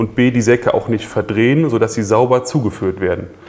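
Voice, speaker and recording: A man with a medium pitch and fairly even intonation keeps a moderate pace while noticeable background noise goes on. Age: 40s. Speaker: engineering project manager. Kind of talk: interview conversation. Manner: halting, many fillers.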